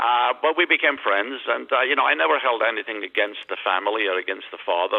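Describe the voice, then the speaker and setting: Talking very fast with hardly any pauses, a man uses lively intonation in a fairly low voice. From Ireland, West Limerick. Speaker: healthcare executive. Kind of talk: radio interview. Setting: phone call.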